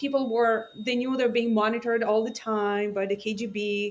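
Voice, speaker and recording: A woman with a non-native accent speaks fairly quickly in a fairly high voice, her intonation fairly even. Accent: noticeable foreign. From Israel, born in Ukraine. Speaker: AI scientist and startup founder. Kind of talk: podcast interview. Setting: remote call.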